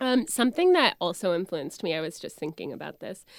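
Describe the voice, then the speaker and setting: A woman with an American accent talks at a fairly quick pace in a very clean, silent-background recording with a dry, close sound and no echo. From Orlando area, Florida. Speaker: comedian and actress. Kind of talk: casual chat.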